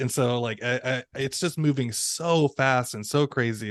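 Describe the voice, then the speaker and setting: Against a quiet background, a man speaks fairly slowly in a plain, everyday voice at medium pitch with fairly even intonation. The sound is dry and close, with no echo. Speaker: podcast co-host; ESL teacher. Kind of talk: casual podcast conversation.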